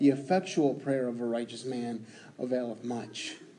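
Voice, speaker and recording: The man's fairly slow speech carries an audible room echo. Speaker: preacher. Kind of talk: sermon. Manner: loud.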